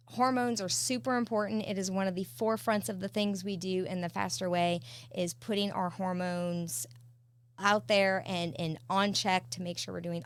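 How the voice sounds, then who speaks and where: A woman with an ordinary speaking voice, fairly low in pitch, talks at a moderate pace with lively intonation. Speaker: fitness coach. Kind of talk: presentation.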